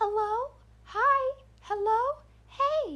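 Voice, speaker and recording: The pitch climbs extremely high. It's a put-on character voice. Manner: creepy, slow.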